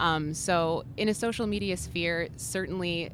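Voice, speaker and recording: Speaking at a fairly slow pace, a woman uses a very deep, low pitch with vocal fry. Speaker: social media strategist. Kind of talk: trade show interview. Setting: trade show floor.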